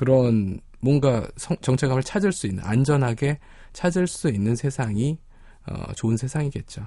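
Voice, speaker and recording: In a plain, everyday voice, a man speaks at a fairly slow pace and medium pitch with lively intonation, over a quiet background. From Korea, not Gyeongsang. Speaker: psychologist. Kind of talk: casual chat. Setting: studio.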